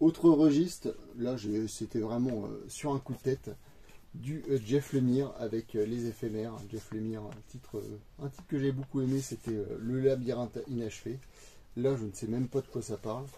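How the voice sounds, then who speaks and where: Somewhat breathy, a man speaks at a moderate pace with a medium pitch, a dark, mellow tone and fairly even intonation. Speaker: manga collector youtuber. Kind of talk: casual haul video monologue. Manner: hesitant, many fillers.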